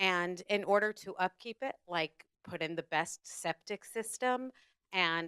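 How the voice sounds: Recorded with a dry, close sound and no echo, a woman speaks at a fairly low pitch with lively intonation and a fairly bright, clear, smooth tone.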